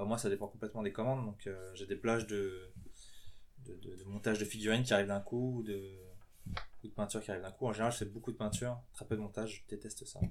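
Very fast and in a monotone, flat intonation, a man speaks at a fairly low pitch. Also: big swings in loudness. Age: 20s. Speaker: professional miniature painter. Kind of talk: interview. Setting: his home workshop.

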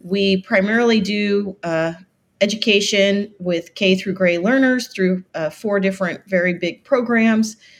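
A woman's ordinary speaking voice at medium pitch, with an American accent, a fairly slow pace and ordinary pitch variation. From US South, Florida Keys. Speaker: nonprofit director, marine biologist. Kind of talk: interview.

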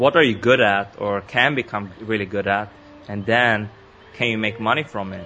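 With music in the background, a man speaks at medium pitch with fairly even intonation. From Sweden. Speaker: entrepreneur and podcaster. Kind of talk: interview.

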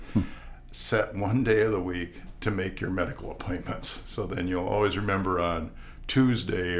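A man with a very deep, low pitch and an American accent at a moderate pace, with audible room echo and noticeable background noise. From US Midwest (Wisconsin, farm upbringing). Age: 70s. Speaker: retired estate planning lawyer. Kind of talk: casual interview. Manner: halting.

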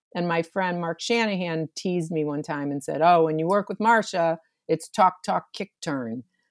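A woman with a plain, everyday voice, fairly low in pitch, with ordinary pitch variation and a moderate pace. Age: 60s. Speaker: theater director. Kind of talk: casual interview. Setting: video call from home office.

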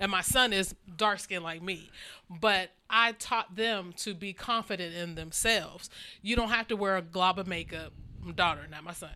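Speaking with an American accent at a moderate pace, a woman with a medium pitch and a bright, sharp tone shows ordinary pitch variation and big swings in loudness on a very clean recording with a silent background. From Ohio, Cleveland area. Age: 40s. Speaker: fashion show model. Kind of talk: casual chat.

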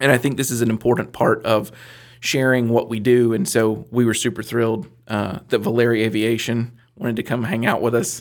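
Medium in pitch, this man has an ordinary speaking voice with fairly even intonation. He talks at a fairly quick pace in a very clean recording with a silent background. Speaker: business center director and mentor. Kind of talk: casual chat, joking interview. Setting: studio.

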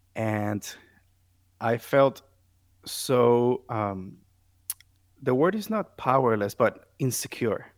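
A man with a Puerto Rican accent speaks at a very slow pace with long, frequent pauses, a medium pitch and lively intonation, on a very clean recording with a silent background. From Puerto Rico. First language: Spanish. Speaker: music therapist. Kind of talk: interview conversation.

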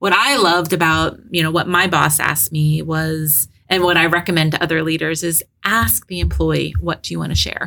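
A woman with a very deep, low voice talks at a moderate pace with fairly even intonation. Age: 50s. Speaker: HR director, cancer survivor. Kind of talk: interview.

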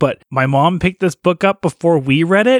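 A man with an unremarkable speaking voice uses lively intonation. The sound is dry and close, with no echo. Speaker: book podcast co-host. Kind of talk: casual chat.

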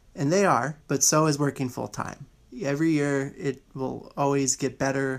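This is a normal speaking voice with an American accent. Its intonation stays fairly even. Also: man. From Houston, Texas. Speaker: alumnus, airline network planner. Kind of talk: interview.

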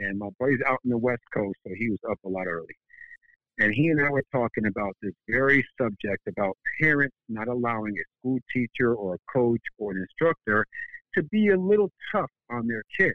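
Speaking in an ordinary speaking voice, a man uses lively intonation at a medium pitch and a moderate pace. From Connecticut, US. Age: 50s. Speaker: karate instructor. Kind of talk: interview.

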